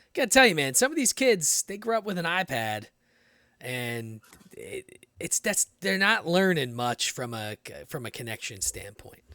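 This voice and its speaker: In an American accent, the speaker moves at a moderate pace with very wide pitch swings, big swings in loudness, and a bright, sharp tone, recorded dry and close with no echo. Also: man, high pitch for a man. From Philadelphia, US. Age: 30s. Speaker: podcast host. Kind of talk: casual chat. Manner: halting, many repeated words.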